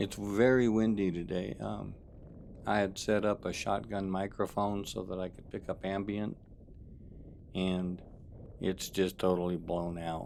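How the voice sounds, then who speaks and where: Speaking at a fairly slow pace, a man with a very deep, low pitch keeps a relaxed tone and fairly even intonation, leaving long, frequent pauses. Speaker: wildlife videographer maintaining desert springs. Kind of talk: casual voiceover narration. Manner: relaxed, conversational with fillers.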